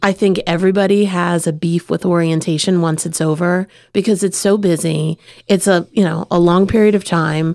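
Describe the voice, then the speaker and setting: A woman at a fairly low pitch and moderate pace, with monotone, flat intonation and a dry, close sound with no echo. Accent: American. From Easton, Pennsylvania area, US. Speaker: college dean. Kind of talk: casual chat. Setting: studio.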